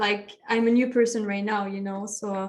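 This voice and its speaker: A woman speaks with a French accent at a fairly high pitch. Her intonation is flat and monotone. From France. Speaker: meditation coach. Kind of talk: podcast interview.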